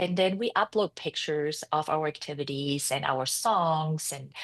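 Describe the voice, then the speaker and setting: A woman with a German accent, very deep and low in pitch, with ordinary pitch variation, recorded dry and close with no echo against a quiet background. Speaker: founder and CEO of a preschool franchise. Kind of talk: interview.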